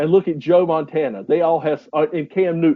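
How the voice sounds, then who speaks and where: A man's fairly high voice with a Southern US accent. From US South, North Carolina. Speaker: podcast co-host. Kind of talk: casual chat.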